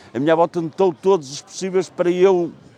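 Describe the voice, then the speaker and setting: A man talks over noticeable background noise. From Penafiel, northern Portugal. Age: 70s. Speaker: retired sheet-metal worker and writer. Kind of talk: interview answer. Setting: outdoors.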